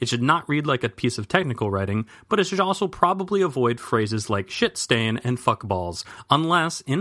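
This is a natural reading voice. It comes across just as a natural reading voice.

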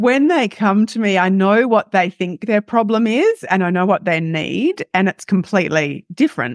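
A woman with an Australian accent speaks at a moderate pace in a medium pitch, with lively intonation. The sound is dry and close with no echo, against a quiet background. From Western Australia. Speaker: lifestyle coach. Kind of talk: interview.

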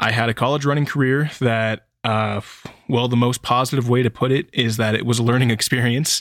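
Heard in a very clean recording with a silent background, a man with a medium-pitched voice speaks at a fairly quick pace, with very even loudness and fairly even intonation. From California, Sacramento area. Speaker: running coach, podcast host. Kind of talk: solo podcast monologue.

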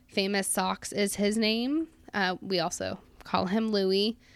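Recorded very cleanly against a silent background, a woman speaks at a fairly slow pace in a medium pitch. Her intonation is fairly even, and she has a normal speaking voice. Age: 20s. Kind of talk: scripted monologue.

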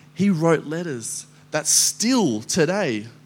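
A man speaks with an Australian accent. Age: 20s. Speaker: guest preacher. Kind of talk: sermon. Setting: church. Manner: animated.

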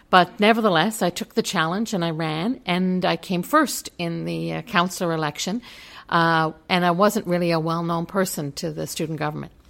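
A woman's plain, everyday voice, fairly low in pitch, at a fairly quick pace in a very clean recording with a silent background. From Newfoundland, Canada. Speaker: college president. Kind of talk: interview. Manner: frequent filler words.

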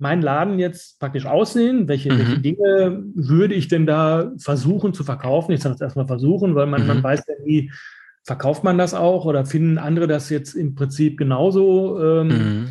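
His pitch fairly high with ordinary variation, a man speaks in a dark, mellow tone at a moderate pace with hardly any pauses. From Germany, Dortmund (Ruhr area). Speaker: shop owner. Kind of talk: interview. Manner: halting, many fillers and repetitions.

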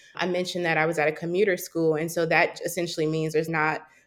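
This woman has an American accent. She talks at a fairly quick pace with a fairly low pitch. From US South, Charlotte, North Carolina. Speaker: postdoctoral researcher and wellness platform creator. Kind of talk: podcast interview.

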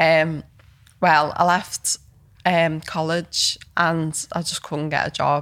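A woman with a Liverpool accent and a fairly low pitch speaks at a very slow pace in a monotone, flat intonation. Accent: Liverpool (Scouse) English. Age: 30s. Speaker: photographer and filmmaker. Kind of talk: casual interview. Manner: hesitant, many fillers.

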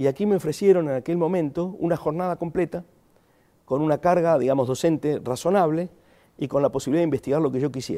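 A man with an Argentine accent talks at a very fast pace in a dark, mellow tone, with ordinary pitch variation. The recording is very clean, with a silent background. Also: fairly high pitch for a man. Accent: Argentine accent, still noticeable. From Argentina. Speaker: philosophy professor. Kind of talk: interview conversation. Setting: in person in a studio.

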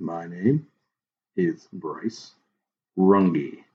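A man puts on a robotic character voice, very deep and low in pitch, with lively intonation. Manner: mechanical.

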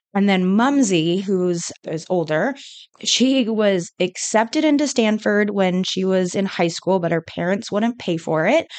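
At a fairly slow pace, a woman with a West Coast accent speaks at medium pitch with lively intonation. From California. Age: 20s. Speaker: MBA student. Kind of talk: interview.

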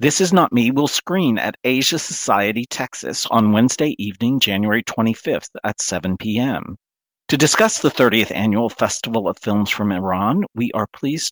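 A man's ordinary speaking voice at a medium pitch, with lively intonation and a moderate pace, on a very clean recording with a silent background. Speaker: radio host. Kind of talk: interview.

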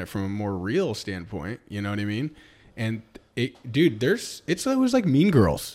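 Using a normal speaking voice, a man with a medium pitch and an American accent talks at a moderate pace. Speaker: podcast co-host, real estate agent. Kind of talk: casual chat.

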